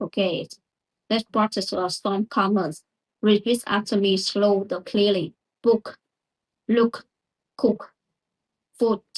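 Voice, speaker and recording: With a non-native accent, a woman speaks at a very slow pace with long, frequent pauses, a medium pitch and fairly even intonation, the sound dry and close with no echo. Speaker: English learner. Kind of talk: pronunciation lesson to camera.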